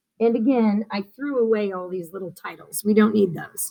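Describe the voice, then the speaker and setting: A woman's fairly high, somewhat breathy voice with a dark, mellow tone, ordinary pitch variation and a moderate pace. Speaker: teacher. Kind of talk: tutorial.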